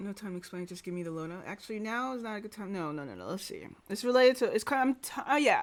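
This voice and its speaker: A very fast pace with hardly any pauses. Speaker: game streamer. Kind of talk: gameplay commentary. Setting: live stream. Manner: loud.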